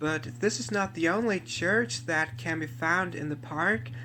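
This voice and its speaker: Over music in the background, a man talks at a fairly high pitch. His pace is fairly slow and his intonation lively. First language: German. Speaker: theme park video tour host. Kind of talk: narrated tour video.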